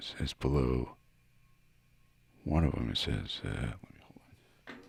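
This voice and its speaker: A man whispers and mumbles at a fairly slow pace, his loudness swinging widely. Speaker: guitar hobbyist YouTuber. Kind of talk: casual tutorial. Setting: garage. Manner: mumbling; quiet.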